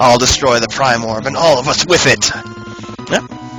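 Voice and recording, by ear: A natural voice reads out loud, keeping its intonation fairly even.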